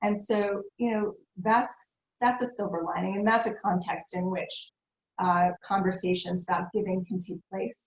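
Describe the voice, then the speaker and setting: The woman's voice sits at a medium pitch and sounds somewhat breathy. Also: fairly even intonation, moderate pace. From Philadelphia. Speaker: nonprofit foundation executive. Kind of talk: interview.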